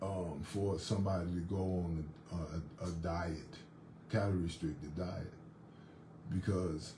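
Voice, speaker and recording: With audible room echo, a man with a very deep, low voice speaks at a fairly slow pace with fairly even intonation and long, frequent pauses. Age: 60s. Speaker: fitness instructor. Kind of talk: casual monologue. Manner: halting, many repetitions and fillers.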